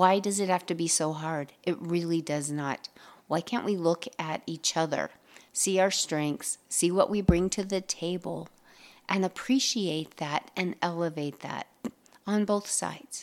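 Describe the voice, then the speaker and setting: This woman has an ordinary speaking voice, fairly low in pitch with ordinary pitch variation, at a fairly slow pace. The recording is very clean, with a silent background. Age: 50s. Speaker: podcast host, mindset coach. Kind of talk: solo motivational podcast talk.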